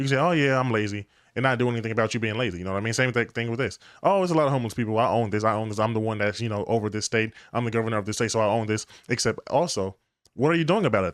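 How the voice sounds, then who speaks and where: A man's medium-pitched voice at a very fast pace, with ordinary pitch variation, on a very clean recording with a silent background. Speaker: reaction video commentator. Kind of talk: casual commentary.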